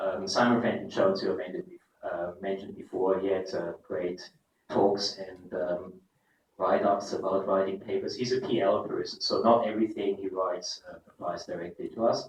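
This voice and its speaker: Here a man talks with a German accent at a fairly quick pace. His loudness swings widely. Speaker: professor. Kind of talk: keynote lecture.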